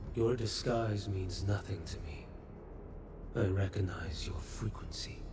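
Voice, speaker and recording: A man puts on a character voice, fairly low in pitch and fairly slow. Loud background noise runs behind him. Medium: video game. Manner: terse, cold.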